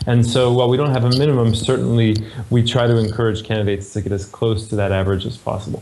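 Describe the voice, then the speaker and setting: Over noticeable background noise, a man with an American accent speaks very fast at a medium pitch with fairly even intonation. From California, US. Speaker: MBA admissions director. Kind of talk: interview.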